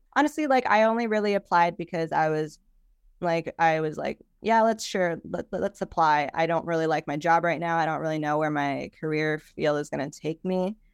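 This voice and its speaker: In a normal speaking voice with an American accent, a woman talks at a fairly quick pace and fairly low pitch, with ordinary pitch variation. The recording is very clean with a silent background and a dry, close sound with no echo. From Chicago. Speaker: news producer. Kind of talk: interview.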